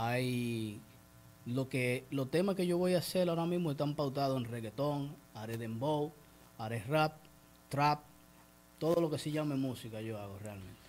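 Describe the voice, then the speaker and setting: A man speaks at a moderate pace and a medium pitch, with ordinary pitch variation. His speech has long, frequent pauses. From Dominican Republic, San Pedro de Macorís. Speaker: rapper. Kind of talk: interview.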